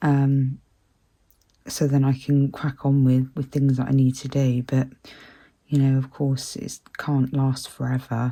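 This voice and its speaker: A woman speaks fairly slowly in a very deep, low pitch with a dark, mellow tone. Her intonation is flat and monotone, broken by long, frequent pauses. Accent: British. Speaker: colouring channel host. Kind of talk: casual chat while colouring. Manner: hesitant, many fillers.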